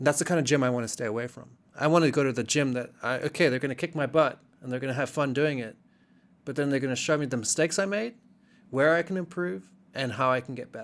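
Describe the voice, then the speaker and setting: Speaking very fast, a man with a fairly high voice uses ordinary pitch variation. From South Africa, Cape Town. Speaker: jiu-jitsu practitioner and former graffiti artist. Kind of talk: casual chat.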